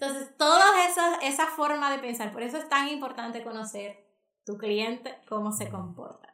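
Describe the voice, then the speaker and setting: A woman's tone is bright and sharp. She keeps a moderate pace. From Dominican Republic. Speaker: marketing and digital business consultant. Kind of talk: podcast interview. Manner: animated.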